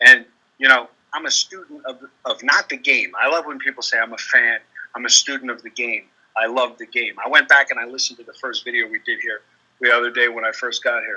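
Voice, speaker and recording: Big swings in loudness at a fairly quick pace, with a dry, close sound and no echo. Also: man. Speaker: sports betting advisor. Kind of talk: casual video call chat. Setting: public coffee shop near airport.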